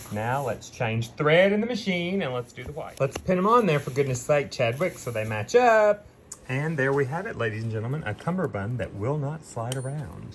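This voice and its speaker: A man with a fairly high pitch and a somewhat breathy voice speaks at a moderate pace, his pitch swinging very widely. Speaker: theater costumer vlogger. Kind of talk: casual vlog narration. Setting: in a car. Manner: whispering backstage.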